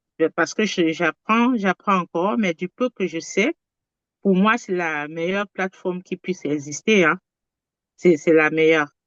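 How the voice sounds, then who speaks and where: Speaking at a fairly slow pace, the woman has a fairly low pitch and ordinary pitch variation. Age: 60s. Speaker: testimonial giver, medico-social worker. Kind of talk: testimony. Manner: halting, repetitive.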